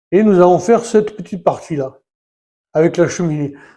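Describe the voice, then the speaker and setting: Fairly quick speech from a man with a dark, mellow tone and ordinary pitch variation. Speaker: YouTuber building a Lego set. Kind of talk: casual tutorial-style building video. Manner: halting, many hesitations.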